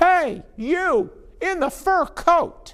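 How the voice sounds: Loud and pitched extremely high, this is a put-on character voice.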